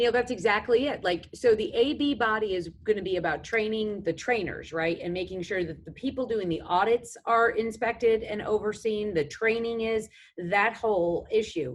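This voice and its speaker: Speech runs at a moderate pace with hardly any pauses. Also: woman, fairly high pitch for a woman, ordinary pitch variation. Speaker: government defense official. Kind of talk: panel discussion. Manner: hesitant, many fillers.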